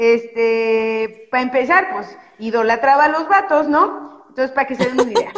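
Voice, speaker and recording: Over noticeable background noise, a woman speaks at a moderate pace in a high voice with lively intonation. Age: 40s. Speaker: feminist activist. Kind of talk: casual chat.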